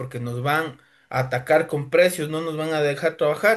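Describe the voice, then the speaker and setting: Against a quiet background, a man with a plain, everyday voice speaks at a moderate pace and a fairly high pitch. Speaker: lawyer and driving school instructor. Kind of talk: lecture. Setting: evening class.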